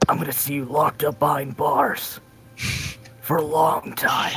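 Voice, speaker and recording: A raspy put-on character voice in a low-to-middle pitch speaks at a moderate pace over clear music in the background. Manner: serious, threatening.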